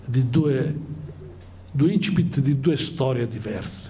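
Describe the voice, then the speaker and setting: Over light background noise, a man talks with lively intonation. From Calabria, Aspromonte; Calabria. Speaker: writer and engineer; guest. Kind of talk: talk to students. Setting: school conference hall with audience. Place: hall. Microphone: handheld.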